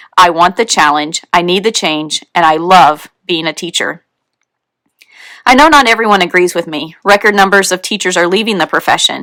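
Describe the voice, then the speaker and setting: Here a woman speaks in a bright, sharp tone at a moderate pace. Her pitch is medium, with ordinary variation. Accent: Texan. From Texas. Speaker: teacher and author. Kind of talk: reading aloud from own book.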